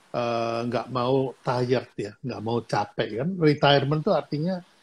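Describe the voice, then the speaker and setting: A man's somewhat breathy, medium-pitched voice, with ordinary pitch variation at a fairly slow pace. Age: 70s. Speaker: business mentor. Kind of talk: casual chat. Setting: Instagram Live video stream.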